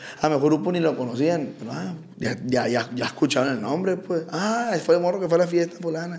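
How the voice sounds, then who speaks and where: Noticeable background noise sits behind a man with a Sinaloan accent. He talks at a fairly quick pace in a high pitch with lively intonation. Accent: Culiacán Sinaloan. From Culiacán, Sinaloa, Mexico. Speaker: regional Mexican band singer. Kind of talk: casual chat. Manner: reserved.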